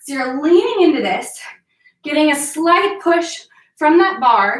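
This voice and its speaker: Audible room echo surrounds a woman speaking at an extremely high pitch. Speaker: fitness instructor. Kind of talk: workout instruction. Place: home room. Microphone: camera far.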